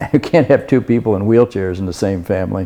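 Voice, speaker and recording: With a dark, mellow tone, a man speaks at a fairly low pitch with ordinary pitch variation. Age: 70s. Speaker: bilateral amputee, welded steel artist. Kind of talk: interview. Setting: at home. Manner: halting.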